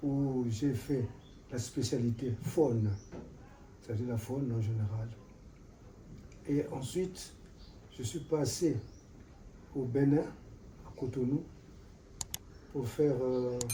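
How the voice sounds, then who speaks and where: With audible room echo, a man with a dark, mellow, somewhat breathy voice speaks very slowly at medium pitch, with ordinary pitch variation and long, frequent pauses. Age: 80s+. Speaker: retired forestry official. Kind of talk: interview. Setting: at his home.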